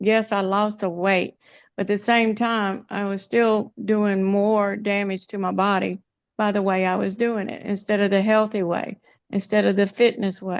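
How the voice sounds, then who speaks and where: Her medium-pitched voice stays monotone and flat. The woman keeps a moderate pace against a quiet background. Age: 70s. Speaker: webinar participant sharing fitness journey. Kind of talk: testimony.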